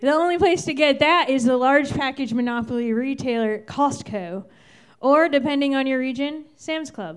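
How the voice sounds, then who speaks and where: Her voice is high for a woman. She speaks with lively intonation. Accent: American. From Virginia, Fairfax County. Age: 30s. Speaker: stand-up comedian. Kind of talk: stand-up. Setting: stage with audience.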